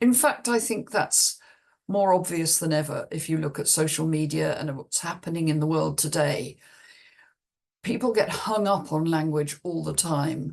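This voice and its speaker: A woman in a southern English accent, very deep and low in pitch, at a moderate pace. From England, Cheltenham. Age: 70s. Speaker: business coach. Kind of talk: video self-introduction. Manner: hesitant, with fillers and restarts.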